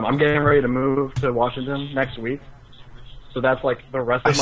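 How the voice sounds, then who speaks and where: A man speaks at a fairly quick pace in a medium pitch, his intonation monotone and flat, with noticeable background noise behind him. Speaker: podcast host. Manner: calm.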